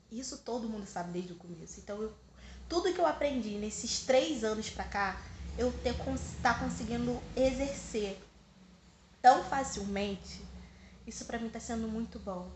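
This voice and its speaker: A woman at a moderate pace, with long, frequent pauses and big swings in loudness, amid noticeable background noise and audible room echo. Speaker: spiritual vlogger. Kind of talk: personal vlog monologue.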